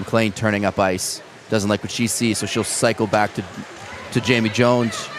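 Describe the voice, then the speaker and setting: Over noticeable background noise, a man with a Canadian accent speaks at a medium pitch in a flat monotone. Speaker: ice hockey play-by-play commentator. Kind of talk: live commentary. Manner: fast.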